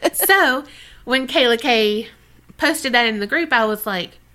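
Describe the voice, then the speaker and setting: A woman with an American accent projects a raised, high-pitched voice with a bright, sharp tone at a moderate pace. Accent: mild Southern, taken for a northerner. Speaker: podcast co-host. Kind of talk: casual chat. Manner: animated.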